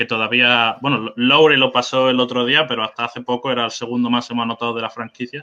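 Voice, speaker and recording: Moderately paced speech in a Spanish accent. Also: man. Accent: Spanish (Spain). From Spain. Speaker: basketball fan guest. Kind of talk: casual sports chat.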